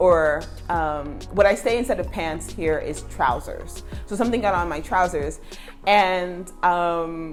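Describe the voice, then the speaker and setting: With music in the background, a woman speaks at a fairly slow pace in a fairly low pitch, showing ordinary pitch variation. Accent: American. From United States. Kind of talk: casual talk to camera.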